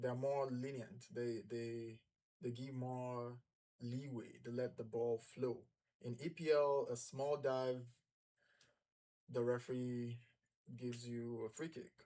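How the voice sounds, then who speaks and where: A man speaks very slowly in a dark, mellow tone, with long, frequent pauses. His pitch is medium and his intonation fairly even. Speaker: football channel host. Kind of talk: live match watch-along commentary.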